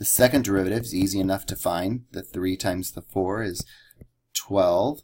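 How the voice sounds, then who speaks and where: With a fairly low pitch and ordinary pitch variation, a man speaks somewhat breathily at a moderate pace, his loudness swinging widely. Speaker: math teacher. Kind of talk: lecture.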